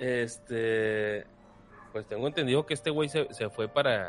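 A man's unremarkable speaking voice at a medium pitch, with ordinary pitch variation. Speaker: podcast co-host. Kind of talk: casual chat. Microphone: far from the mic at first.

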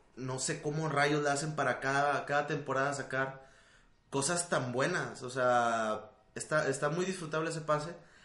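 Audible room echo surrounds a man speaking at a moderate pace. His pitch is fairly high with ordinary variation. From Monterrey, Mexico. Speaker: video game podcast co-host. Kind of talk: casual chat.

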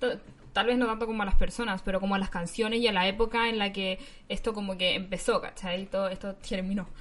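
A woman with a Chilean accent talks at a very fast pace, her medium pitch held in fairly even intonation. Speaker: podcast co-host. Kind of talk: casual chat.

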